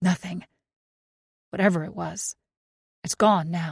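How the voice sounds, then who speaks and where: In a put-on character voice, a raspy, female-sounding speaker talks at a middle pitch and a fairly slow pace. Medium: read story.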